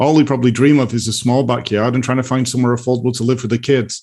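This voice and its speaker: A man with a British accent talks at a very fast pace in a medium pitch, his intonation flat and monotone. The recording is very clean, with a silent background. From UK. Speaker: real estate market analyst. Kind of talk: casual chat.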